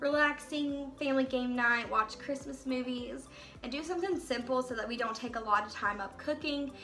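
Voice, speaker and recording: Over light background noise, a woman with a high voice talks at a fairly quick pace with ordinary pitch variation. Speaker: home vlogger. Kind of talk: casual vlog chat. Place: kitchen. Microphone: phone near.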